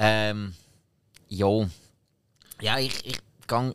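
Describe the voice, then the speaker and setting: This is a man speaking. He has a Swiss accent. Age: 30s. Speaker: podcast co-host. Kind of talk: casual chat.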